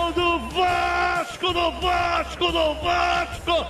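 A man shouts at an extremely high pitch over light background noise. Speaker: radio football commentator. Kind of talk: live radio football goal call. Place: booth.

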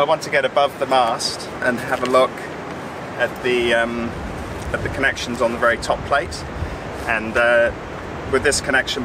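Amid loud background noise, a man speaks at a moderate pace in a dry sound with no echo. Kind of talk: casual explanation to camera. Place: boat.

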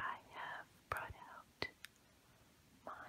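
In a gentle tone, a woman whispers. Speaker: ASMR creator. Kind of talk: ASMR whisper. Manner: whispered, gentle, soft. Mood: calm, soothing. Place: home room.

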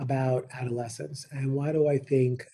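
A man at a medium pitch speaks with a dark, mellow tone and a somewhat breathy sound. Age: 50s. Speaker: nursing professor and dean; nursing professor. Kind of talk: lecture. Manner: fast.

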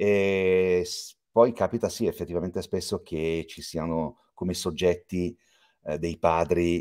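A man's very deep, low voice at a fairly slow pace with ordinary pitch variation, against a quiet background. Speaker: voice actor; voice actor interviewee. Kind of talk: interview. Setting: video call. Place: home room.

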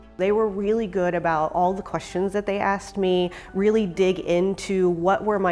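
A woman speaks with fairly even intonation over faint music in the background. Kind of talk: interview answer. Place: home room. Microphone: lapel.

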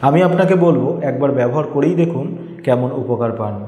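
Faint background noise sits behind a man talking fast at a medium pitch in a dark, mellow tone. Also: ordinary pitch variation.

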